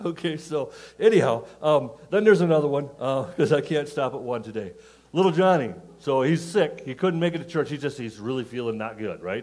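A man talks at a fairly quick pace. His intonation is lively and his loudness swings widely. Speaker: pastor. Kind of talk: sermon. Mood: jovial, telling jokes, laughing. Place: church. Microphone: headset.

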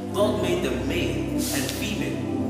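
Over loud background music and audible room echo, a man speaks at a fairly slow pace. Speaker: spoken word performer. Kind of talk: spoken word poetry, religious testimony. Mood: fervent, devotional. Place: church.

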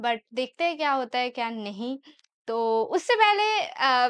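All is quiet in the background. The speaking pace is very slow. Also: woman. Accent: Bengali. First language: Bengali (speaking Hindi). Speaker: YouTuber / vlogger; vlogger. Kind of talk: casual Q&A vlog. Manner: hesitant, with fillers. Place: home room. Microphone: lapel.

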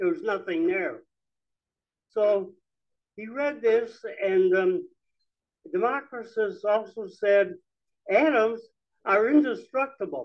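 Against a quiet background, a man with a high voice speaks very slowly with lively intonation, stopping often for long pauses. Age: 90s. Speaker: lecturer on Marxism. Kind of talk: public talk. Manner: halting. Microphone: handheld.

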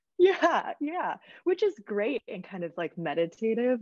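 With music playing behind her, a woman talks at a fairly slow pace with lively intonation, the sound dry and close with no echo. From US Midwest, small-town Michigan. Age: 30s. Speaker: travel content creator. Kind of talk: casual interview.

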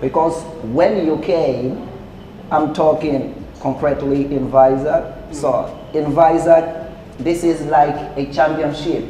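Over light background noise and audible room echo, a man with a fairly high pitch talks at a very slow pace with fairly even intonation. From Angola. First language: Portuguese. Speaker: podcast co-host. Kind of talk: casual chat. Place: cafe.

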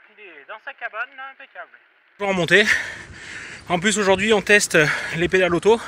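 A man's high-pitched voice, dry with no echo, over light background noise. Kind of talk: casual vlog chat. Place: bicycle. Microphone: phone near.

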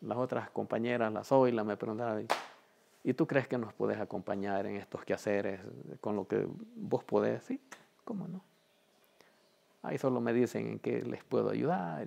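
This is a man speaking. His pace is moderate. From El Salvador, Chalatenango; El Salvador. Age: 60s. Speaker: community organizer. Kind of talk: testimony. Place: home room.

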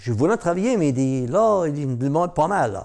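Over a quiet background, a man talks in a dark, mellow tone. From Newfoundland, Cap-Saint-Georges (Franco-Newfoundlander); Newfoundland. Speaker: storyteller. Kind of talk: oral storytelling. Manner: hesitant, many fillers. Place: home room.

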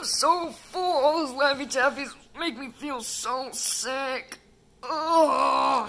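This cartoonish character voice is high-pitched. It moves at a very slow pace. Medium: puppet show. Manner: excitable, silly, easily scared.

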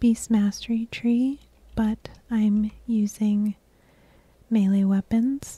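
A dark, mellow, somewhat breathy voice at a very slow pace, with monotone, flat intonation. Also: woman. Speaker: ASMR gameplay creator. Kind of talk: soft-spoken ASMR gameplay commentary. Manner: soft-spoken, relaxing.

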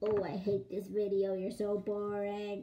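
A woman puts on a character voice at a medium pitch. She talks at a moderate pace. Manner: mocking, whiny.

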